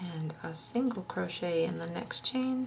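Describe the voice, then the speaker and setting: A woman speaks at a very slow pace. Her fairly low voice is somewhat breathy. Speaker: crochet tutorial host. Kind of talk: tutorial.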